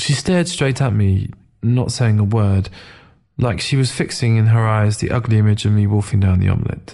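A natural voice reading aloud

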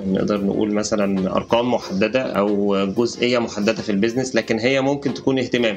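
The speaker talks at a moderate pace with fairly even intonation while music plays in the background. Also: man. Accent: Egyptian. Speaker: edtech startup co-founder and CEO. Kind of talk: interview.

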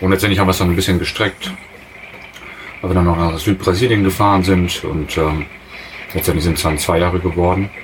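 Delivered at a fairly quick pace with long, frequent pauses, the voice stays monotone and flat in intonation, keeps a very even loudness, and has noticeable background noise behind it. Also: man, very deep, low pitch for a man. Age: 30s. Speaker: industrial mechanic, traveller. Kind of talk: casual interview. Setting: in a motorhome. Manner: hesitant, many fillers.

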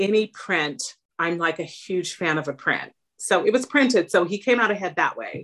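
Using a plain, everyday voice, a woman with an American accent speaks at medium pitch and a moderate pace with lively intonation. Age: 50s. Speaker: therapist and home sewist. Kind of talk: casual interview.

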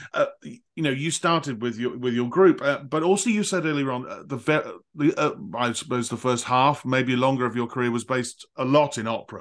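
Speaking at a fairly quick pace, a man has an ordinary speaking voice, a medium pitch and ordinary pitch variation. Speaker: podcast host and conductor. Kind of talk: interview conversation. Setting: remote call.

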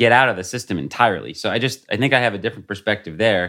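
A man with an ordinary speaking voice talks at a medium pitch with lively intonation. The recording is very clean, with a silent background. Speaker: human rights advocate. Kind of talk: panel debate.

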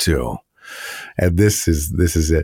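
At a moderate pace, a man talks in a dry, close sound with no echo. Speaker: podcast host and story narrator. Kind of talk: casual interview chat. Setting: remote call. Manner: repeats words when speaking off the cuff.

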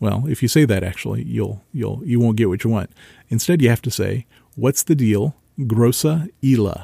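A man speaks at a medium pitch with ordinary pitch variation, a dark, mellow tone, vocal fry and an American accent. The sound is dry and close with no echo, on a very clean recording with a silent background. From central Ohio, US. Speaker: local history podcast host. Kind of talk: solo podcast monologue.

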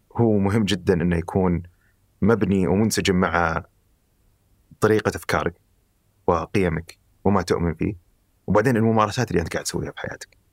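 With a very deep, low pitch, a man speaks at a moderate pace. He leaves long, frequent pauses. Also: fairly even intonation, very clean recording, silent background. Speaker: life design researcher. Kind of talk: conversational interview.

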